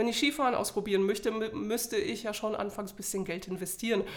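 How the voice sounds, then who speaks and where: Fairly quick speech from a woman, fairly high in pitch, with ordinary pitch variation. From Poland. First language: Polish (speaking German). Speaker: bread-baking instructor. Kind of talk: interview.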